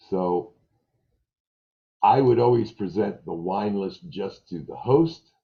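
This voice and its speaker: A man in a New York accent talks at a very slow pace with lively intonation and long, frequent pauses. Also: fairly low pitch for a man, big swings in loudness. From New York, Brooklyn. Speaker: restaurant trainer. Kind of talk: staff training meeting. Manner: animated.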